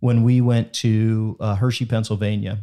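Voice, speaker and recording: A man with an ordinary speaking voice talks at medium pitch and a moderate speed, captured in a very clean recording against a silent background. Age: 40s. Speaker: podcast host and entrepreneur. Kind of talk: casual chat.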